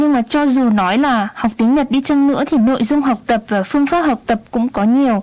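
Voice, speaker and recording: In a high pitch, a woman speaks at a fairly slow pace with ordinary pitch variation. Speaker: radio co-host and interpreter. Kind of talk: interpreting and informational radio talk.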